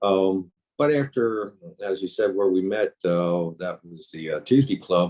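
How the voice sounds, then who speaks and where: Speaking fairly slowly, a man with a very deep, low pitch shows ordinary pitch variation and big swings in loudness. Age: 60s. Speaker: tai chi teacher. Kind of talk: interview. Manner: hesitant, many fillers.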